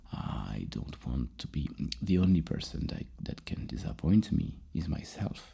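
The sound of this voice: A man speaks at a fairly slow pace with an extremely low pitch and big pitch swings. His voice has vocal fry, a husky, rough edge and a dark, mellow tone.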